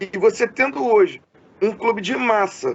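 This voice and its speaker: Speaking with lively intonation, a man's voice sits at an extremely high pitch. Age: 30s. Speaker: podcast interviewer. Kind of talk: interview. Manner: halting, many fillers.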